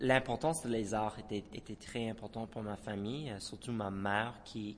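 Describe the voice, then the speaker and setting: Speaking with an English accent, this man has a fairly low pitch. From Moncton, New Brunswick. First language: English (speaking French). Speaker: dancer and choreographer. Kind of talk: radio interview. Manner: halting, many repetitions.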